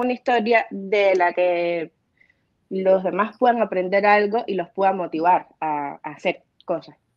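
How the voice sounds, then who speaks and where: A woman's lively intonation in a dry sound with no echo, over a quiet background. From Cuba. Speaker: film producer and new online show host; new online show host. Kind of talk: interview. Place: home room. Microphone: video call.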